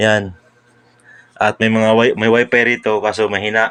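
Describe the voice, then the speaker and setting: This is a man speaking. His pitch is fairly low. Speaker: vlogger. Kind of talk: casual vlog narration. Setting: indoors at home, others asleep. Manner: soft-spoken.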